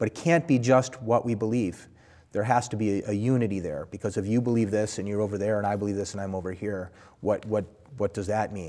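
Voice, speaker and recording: A man with an American accent talks very fast in a fairly low, dark, mellow voice with ordinary pitch variation over a quiet background. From Buffalo, New York area; New York. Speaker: Orthodox priest, former police officer; Orthodox priest. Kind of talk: interview. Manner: hesitant, many fillers. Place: studio. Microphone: lapel.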